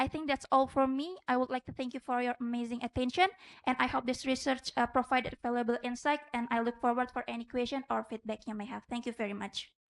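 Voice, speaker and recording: In an Indonesian accent, a woman with a high pitch talks very fast with fairly even intonation, the sound dry and close with no echo. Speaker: medical student researcher. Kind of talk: conference presentation; Q&A answer. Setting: conference with judges. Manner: halting.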